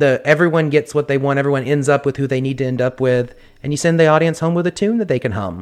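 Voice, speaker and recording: A man talks at a very fast pace. His voice is fairly high, with ordinary pitch variation. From US South. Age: 20s. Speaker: actor. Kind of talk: casual chat.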